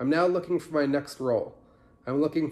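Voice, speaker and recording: With fairly even intonation, a man talks in a dark, mellow tone. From New Hampshire. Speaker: talent sourcer. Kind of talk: parody infomercial self-promotion pitch. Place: home room. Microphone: phone near.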